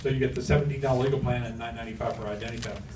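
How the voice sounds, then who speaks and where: A man with a medium-pitched voice talks over audible room echo. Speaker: sales presenter. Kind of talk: audience Q&A presentation. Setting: room with live audience. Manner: fast.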